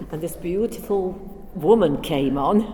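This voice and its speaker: Over noticeable background noise and audible room echo, a woman with an East Midlands accent speaks at a medium pitch with ordinary pitch variation. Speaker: former factory worker. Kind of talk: oral history interview.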